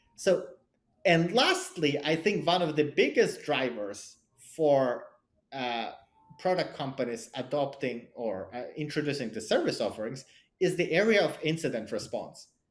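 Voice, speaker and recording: Using a non-native accent, a man speaks at a fairly high pitch and moderate pace with lively intonation and long, frequent pauses. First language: not English; English is his third language. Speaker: cybersecurity product leader and angel investor. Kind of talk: podcast interview. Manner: halting, many repetitions and fillers.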